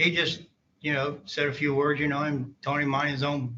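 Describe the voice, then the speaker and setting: Talking at a fairly quick pace, a man with a Southern US accent has a fairly high pitch. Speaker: court witness, army veteran. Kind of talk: court testimony. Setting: courtroom. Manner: halting.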